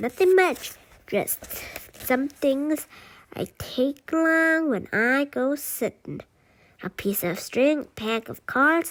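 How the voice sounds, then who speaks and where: Using a put-on character voice, a woman speaks very slowly in a high pitch, leaving long, frequent pauses. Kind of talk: bedtime story. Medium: read story. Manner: jolly, forthright.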